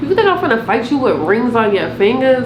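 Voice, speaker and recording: Amid noticeable background noise and audible room echo, a woman with an American accent talks at a fairly quick pace with lively intonation. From Providence, Rhode Island, US. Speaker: YouTuber. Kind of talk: storytime vlog. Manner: fast; animated.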